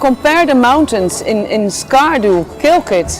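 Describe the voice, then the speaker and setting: At a moderate pace, a woman with a high voice swings her pitch very widely over noticeable background noise. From Netherlands. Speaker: journalist. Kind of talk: casual chat. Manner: animated.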